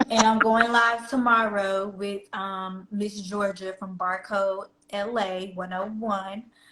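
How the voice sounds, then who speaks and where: A woman with a slight Southern US accent speaks very slowly with hardly any pauses, her medium-pitched voice bright and sharp. Her intonation stays flat and monotone while her loudness swings widely. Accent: slight country Southern US. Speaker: fashion reseller and influencer. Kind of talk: casual interview chat. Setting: live stream.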